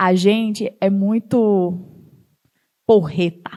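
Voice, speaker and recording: A woman with a northeastern Brazilian accent speaks at medium pitch with ordinary pitch variation. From Northeast Brazil. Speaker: startup founder and CEO. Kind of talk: talk to an audience.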